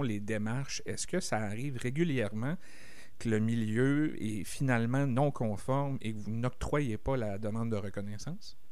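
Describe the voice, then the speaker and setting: The speech goes at a fairly slow pace with ordinary pitch variation, and audible room echo surrounds it. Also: man. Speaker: community radio host. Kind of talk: radio interview.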